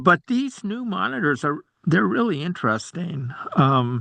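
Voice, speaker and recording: Dry and close with no echo, a man's bright, sharp voice at a fairly high pitch moves slowly, with very wide pitch swings. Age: 70s. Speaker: transit rider committee member. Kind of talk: casual meeting discussion. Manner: halting.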